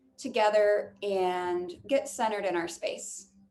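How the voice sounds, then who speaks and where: Her pitch medium and her intonation lively, a woman speaks. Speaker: yoga instructor. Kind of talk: guided yoga class with meditation. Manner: loud.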